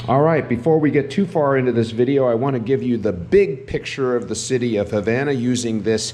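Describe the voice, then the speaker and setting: A man's animated voice at a moderate pace with ordinary pitch variation against noticeable background noise. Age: 60s. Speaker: travel vlogger. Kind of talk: travel vlog narration.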